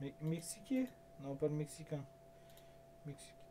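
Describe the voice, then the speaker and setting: A man speaks with a fairly high pitch and a somewhat breathy voice. His tone is dark and mellow. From France. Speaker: gaming YouTuber. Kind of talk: casual gameplay commentary. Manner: animated. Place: home room.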